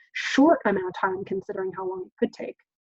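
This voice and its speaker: The voice belongs to a woman. The sound is dry and close, with no echo. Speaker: parenting educator. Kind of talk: webinar presentation. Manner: animated.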